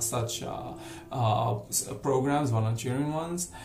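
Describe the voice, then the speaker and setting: A medium-pitched man with ordinary pitch variation, light background noise, and audible room echo. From Morocco. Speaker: volunteer. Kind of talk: self-introduction video. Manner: hesitant, many fillers. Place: home room. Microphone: webcam.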